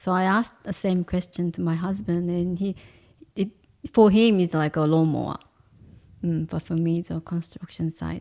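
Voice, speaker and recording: The speaker has a Korean accent and a dark, mellow tone. The pace is moderate and the intonation fairly even. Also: woman. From South Korea, Seoul. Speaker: painter and food stall owner. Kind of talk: interview.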